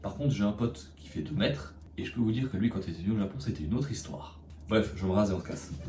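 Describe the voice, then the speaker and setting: A man with a very deep, low, dark, mellow voice that is somewhat breathy speaks at a very fast pace with lively intonation and big swings in loudness, amid audible room echo. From Belgium. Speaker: vlogger. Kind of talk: vlog narration. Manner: casual.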